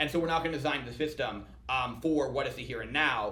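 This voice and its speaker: A man at a very fast pace, with audible room echo and noticeable background noise. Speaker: startup founder and CEO. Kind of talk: podcast interview.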